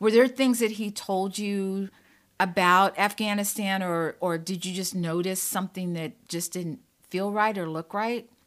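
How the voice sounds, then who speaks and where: On a very clean recording with a silent background, a woman with a plain, everyday voice speaks at medium pitch, at a fairly slow pace, with fairly even intonation. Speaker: podcast host. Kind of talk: casual interview chat.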